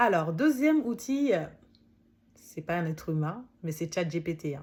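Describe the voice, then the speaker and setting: A woman with a non-native accent speaks at a fairly slow pace in a fairly low, somewhat breathy voice. Her intonation is lively. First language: not French (speaking French). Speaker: author and coach. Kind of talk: book summary talk, casual monologue. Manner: hesitant, many fillers.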